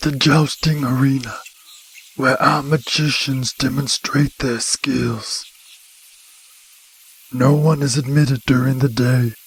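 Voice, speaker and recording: Using a put-on character voice in a medium pitch, a man speaks at a fairly slow pace with long, frequent pauses. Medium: video game. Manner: polite, measured.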